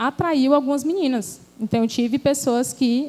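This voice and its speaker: A woman speaks with ordinary pitch variation. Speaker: speaker at a church women's event. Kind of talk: church talk, personal testimony.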